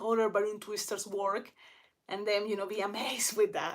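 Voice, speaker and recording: A woman's fairly high voice with a strong Spanish accent. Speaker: balloon twister. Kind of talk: casual livestream chat. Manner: halting.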